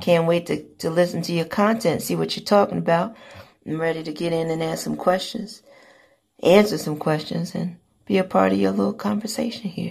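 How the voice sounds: A woman uses a raspy, put-on character voice pitched fairly low. She speaks at a moderate pace.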